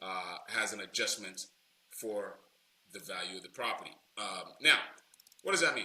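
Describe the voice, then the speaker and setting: A man's voice with long, frequent pauses and big swings in loudness. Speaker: loan broker trainer. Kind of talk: tutorial. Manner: fast; casual, many fillers.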